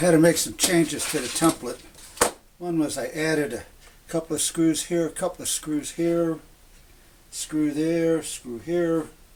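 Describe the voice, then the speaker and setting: There is noticeable background noise around a man with a fairly high pitch. He goes at a moderate pace, leaving long, frequent pauses. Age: 70s. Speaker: woodworking hobbyist. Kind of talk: tutorial. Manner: casual, halting.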